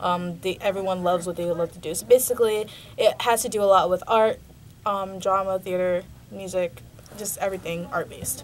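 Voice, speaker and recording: A woman at medium pitch talks at a fairly quick pace with fairly even intonation and big swings in loudness. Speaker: college radio host. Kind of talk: radio show talk. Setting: radio studio. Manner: halting, many filler ums.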